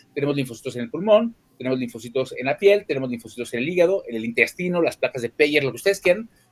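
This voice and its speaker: A man's fairly high voice, very fast, with lively intonation. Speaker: pediatric oncologist. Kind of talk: lecture.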